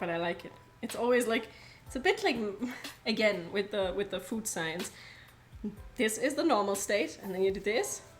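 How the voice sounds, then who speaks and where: A woman with a German accent, a medium pitch and ordinary pitch variation, at a moderate pace with long, frequent pauses, over noticeable background noise. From Germany. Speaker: streamer. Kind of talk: casual live-stream cooking chat. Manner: casual, chatty.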